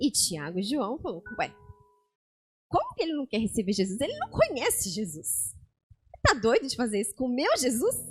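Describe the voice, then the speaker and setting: Music plays in the background as a woman speaks at a high pitch in a calm tone. Her pitch swings very widely, and she leaves long, frequent pauses. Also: moderate pace. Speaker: lay preacher. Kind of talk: sermon.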